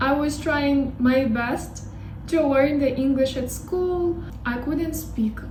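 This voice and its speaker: A woman speaks very slowly at a high pitch with fairly even intonation. Noticeable background noise and audible room echo fill the recording. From Russia. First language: Russian. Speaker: language learning YouTuber. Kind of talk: casual vlog talk. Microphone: poor sound quality.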